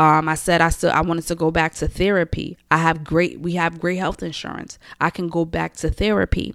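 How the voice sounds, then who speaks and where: In a dry, close recording with no echo, a woman speaks at a moderate pace with a fairly low pitch. The recording is very clean, with a silent background. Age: 20s. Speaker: podcast host and office manager. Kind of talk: motivational solo podcast monologue. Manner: animated.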